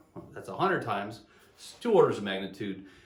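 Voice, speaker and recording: A man talks at a fairly quick pace, his voice carrying audible room echo amid noticeable background noise. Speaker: engineering business consultant. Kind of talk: solo video talk. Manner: fast; halting, repeated words.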